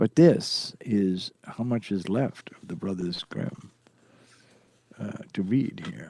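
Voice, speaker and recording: A man speaks very slowly in a fairly low voice, dark and mellow in tone, with lively intonation. Long, frequent pauses and big swings in loudness mark his delivery. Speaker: podcast host who reads bedtime stories. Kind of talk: casual live chat.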